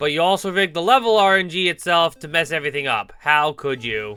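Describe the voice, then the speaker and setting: A man at a high pitch, with lively intonation and a fairly quick pace, over music in the background. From Canada. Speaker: video game streamer. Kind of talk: live gameplay commentary. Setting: live stream. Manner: animated; loud.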